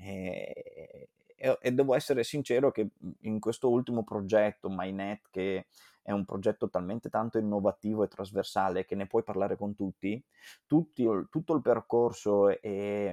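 A man's fairly low, dark, mellow voice at a fairly slow pace, with ordinary pitch variation. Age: 30s. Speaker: event organizer and marketer. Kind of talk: interview. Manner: halting.

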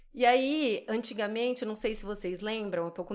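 A woman with an unremarkable speaking voice talks at a fairly high pitch, her pitch varying in an ordinary way. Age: 30s. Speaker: esthetician. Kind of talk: casual interview chat.

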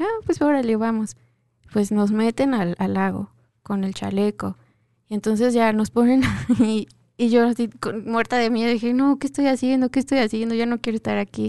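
Recorded dry and close with no echo, a woman talks at a fairly high pitch with ordinary pitch variation. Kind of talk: casual chat. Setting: radio studio booth. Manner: talkative.

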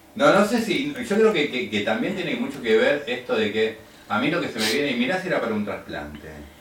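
A man with a high voice speaks in a Rioplatense accent, his pitch swinging very widely. He talks at a fairly quick pace over noticeable background noise. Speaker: radio co-host. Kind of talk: casual chat.

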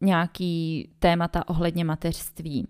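In a very clean recording with a silent background and a dry, close sound with no echo, a woman speaks in a dark, mellow tone at a fairly low pitch. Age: 20s. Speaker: podcast host, mother. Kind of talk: casual solo monologue.

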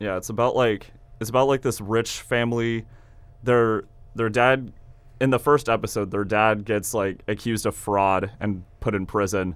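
Here a man has an ordinary speaking voice with an American accent. He talks at a moderate pace with fairly even intonation. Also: fairly low pitch for a man. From Kansas. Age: young. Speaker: college radio host. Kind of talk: casual chat. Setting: studio.

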